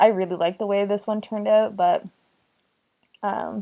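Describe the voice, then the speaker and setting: A woman talking at a fairly quick pace. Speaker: artist vlogger. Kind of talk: casual voiceover commentary. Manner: halting.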